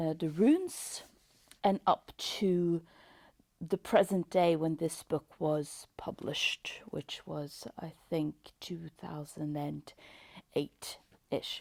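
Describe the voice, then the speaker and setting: In a very clean recording with a silent background, a woman with a Norwegian accent speaks at a very slow pace in a fairly low voice. Her intonation is fairly even, while her loudness swings widely. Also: dry, close sound with no echo. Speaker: book reviewer. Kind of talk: casual book review. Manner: hesitant, many fillers.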